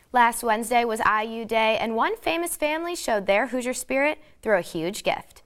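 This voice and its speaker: In an unremarkable speaking voice, a woman talks at a fairly quick pace with a fairly high pitch and lively intonation, in a very clean recording with a silent background. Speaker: sports broadcaster. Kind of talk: TV sports news anchor read.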